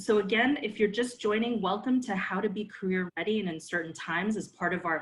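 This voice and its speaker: An American accent comes through in this somewhat breathy voice. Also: woman. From New York City. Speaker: career counselor, panel moderator. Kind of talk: online panel moderation. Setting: video call.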